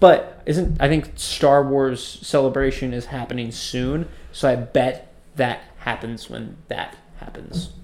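Noticeable background noise sits under a man speaking at a very slow pace. His pitch is medium, and his loudness swings widely. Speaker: podcast co-host. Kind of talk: casual chat. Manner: animated, excitable.

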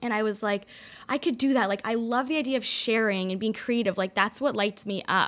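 Here is a plain, everyday voice from a woman with a Canadian accent. Her pitch is fairly high and her pace fairly quick. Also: ordinary pitch variation. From Toronto, Canada.

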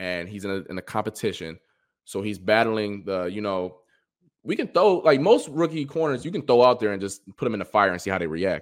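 With an American accent and a plain, everyday voice, a man speaks at a fairly quick pace with a fairly low pitch and lively intonation. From Cleveland, Ohio. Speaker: sports reporter and former college football player. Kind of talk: casual chat.

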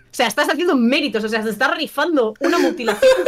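A woman with an ordinary speaking voice talks at a fairly quick pace with lively intonation. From Valencia, eastern Spain (Burjassot). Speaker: streamer and film guest. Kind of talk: casual chat.

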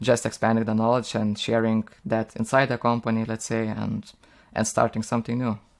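This man has a Lithuanian accent. His pitch is medium. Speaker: software engineer. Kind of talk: casual interview. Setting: video call. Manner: halting with frequent repetitions.

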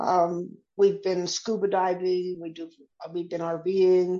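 At a very slow pace, a woman is speaking. Her pitch is medium. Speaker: poet. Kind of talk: interview.

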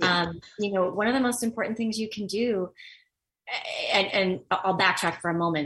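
A woman talks at a moderate pace with a medium pitch. She has a normal speaking voice with ordinary pitch variation. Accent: American. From Los Angeles, US. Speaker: actor, teacher and engagement consultant. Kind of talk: interview.

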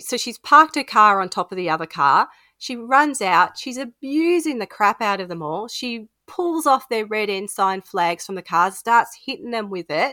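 A woman with an Australian accent, fairly high-pitched and bright, sharp in tone, at a moderate pace with hardly any pauses, very wide pitch swings and big swings in loudness, in a dry, close sound with no echo. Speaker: podcast co-host. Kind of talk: casual chat. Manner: giggly, animated.

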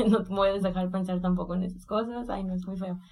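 A woman at a medium pitch and a fairly quick pace, with audible room echo. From Mexico, Colima. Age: 20s. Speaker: illustrator and art workshop teacher. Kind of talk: interview.

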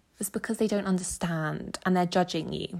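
In a very clean recording with a silent background, a woman talks at a moderate pace, her medium pitch showing ordinary pitch variation. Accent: English. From England, small village. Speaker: podcast host. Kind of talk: solo monologue sharing personal experiences. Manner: casual, chatty with laughs.

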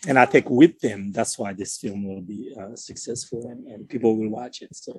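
A man talks in a plain, everyday voice at a medium pitch with ordinary pitch variation. He barely pauses, and his loudness swings widely. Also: moderate pace. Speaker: filmmaker. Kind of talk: interview chat.

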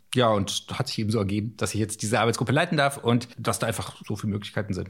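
A man with a fairly low pitch talks at a very fast pace in a somewhat breathy voice with ordinary pitch variation, recorded very cleanly against a silent background. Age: 40s. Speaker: climate scientist. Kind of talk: interview.

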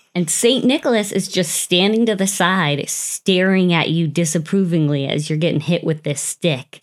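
A woman's normal speaking voice, fairly low-pitched with ordinary pitch variation, in an American accent, hardly any pauses, on a very clean recording with a silent background. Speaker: podcast host. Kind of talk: ghost story telling. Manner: hushed, slow, suspenseful storytelling build-up.

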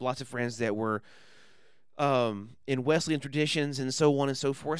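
Moderate pace and ordinary pitch variation at a medium pitch from a man, an ordinary speaking voice. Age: 30s. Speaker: podcaster and former evangelist. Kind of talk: casual chat.

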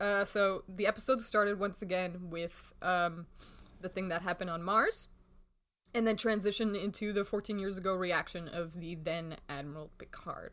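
An unremarkable speaking voice from a woman at a medium pitch and moderate pace, in a very clean recording with a silent background. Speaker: podcast host. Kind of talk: casual chat.

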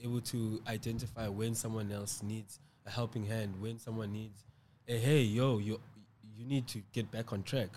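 His tone is dark and mellow, somewhat breathy. The man delivers his words in a flat, monotone way. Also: medium pitch for a man, moderate pace. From South Africa, Cape Town. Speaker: community leader. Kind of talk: casual interview. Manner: halting, repeats words.

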